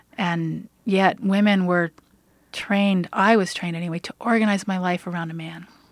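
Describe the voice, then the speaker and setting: In a very clean recording with a silent background, a woman with an unremarkable speaking voice talks at a moderate pace and medium pitch, her intonation fairly even but her loudness swinging widely. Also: dry, close sound with no echo. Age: 50s. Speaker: minister. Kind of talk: radio interview.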